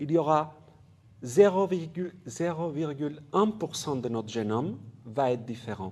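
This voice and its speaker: A man speaks with a non-native accent at a fairly slow pace. Audible room echo surrounds the voice. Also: fairly high pitch for a man. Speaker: geneticist, professor. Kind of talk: public lecture. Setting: conference hall with audience. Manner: halting, with fillers and repetitions.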